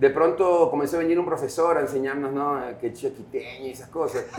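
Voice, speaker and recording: Male speech at a fairly quick pace, lively intonation, audible room echo and noticeable background noise. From Guayaquil, Ecuador. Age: 40s. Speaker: rock musician. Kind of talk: interview. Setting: coffee shop.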